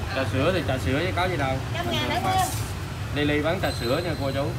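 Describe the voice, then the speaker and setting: A man talks at an even, middling speed while heavy noise fills the background. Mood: joking, laughing. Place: market. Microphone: phone near.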